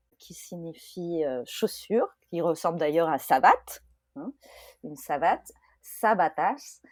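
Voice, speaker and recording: Very slow and full of long, frequent pauses, a woman's fairly low voice shows big swings in loudness in a very clean recording with a silent background. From France. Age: 30s. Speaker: expat mother. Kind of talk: podcast interview testimony. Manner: hesitant, many fillers.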